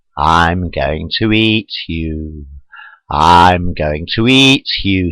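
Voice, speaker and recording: A man puts on a growling character voice, very deep and low in pitch, and speaks at a very slow pace. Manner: snarling, menacing.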